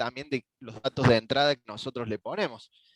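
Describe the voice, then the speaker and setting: A man is heard against a quiet background in a dry sound with no echo. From Argentina. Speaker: network engineer; instructor presenting software. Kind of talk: technical tutorial. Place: home room. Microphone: headset.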